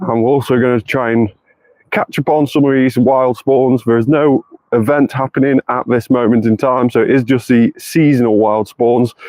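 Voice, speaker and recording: A man with a British accent speaks at a medium pitch and very even loudness. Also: moderate pace. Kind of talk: live gameplay stream. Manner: animated.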